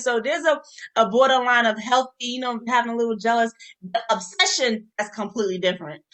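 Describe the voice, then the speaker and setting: Over music in the background, a woman with a New York accent speaks in a high, animated voice at a fairly quick pace. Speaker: podcast co-host. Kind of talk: casual chat.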